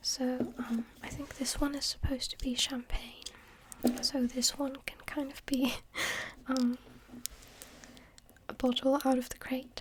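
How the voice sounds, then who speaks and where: A woman speaks softly at a high pitch. Her intonation stays monotone and flat. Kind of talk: ASMR hobby show-and-tell to camera. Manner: soft-spoken.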